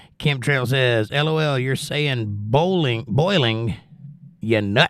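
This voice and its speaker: Here a man talks at a very slow pace. His pitch is medium, with ordinary pitch variation. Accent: Southern US. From Georgia. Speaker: live streamer reading chat aloud.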